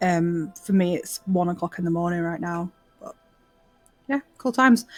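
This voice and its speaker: Music plays in the background as a woman speaks with a British accent and ordinary pitch variation. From UK. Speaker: gaming guild member. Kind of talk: self-introduction.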